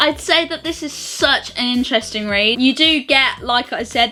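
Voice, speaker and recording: A woman keeps a moderate pace while noticeable noise runs in the background. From United Kingdom. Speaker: vlogger. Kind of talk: book review.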